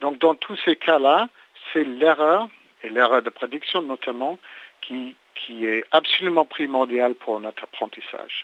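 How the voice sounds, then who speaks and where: With a slight English accent, a man speaks at a fairly slow pace in a fairly high pitch, with ordinary pitch variation. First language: English (speaking French). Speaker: neuroscience researcher. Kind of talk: interview. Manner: halting, many repetitions and hesitations.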